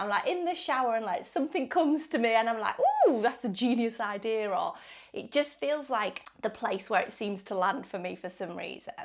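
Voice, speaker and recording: A woman with an English accent speaks in an animated tone at a moderate pace, her fairly high voice making very wide pitch swings over noticeable background noise. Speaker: wellbeing vlogger. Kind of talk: casual chat.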